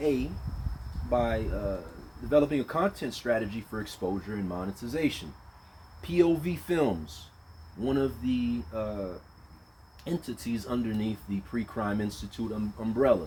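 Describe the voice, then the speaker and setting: A loud man with a dark, mellow tone and medium pitch talks at a moderate pace, using very wide pitch swings and long, frequent pauses. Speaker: vlogger. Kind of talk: casual monologue. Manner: casual, halting.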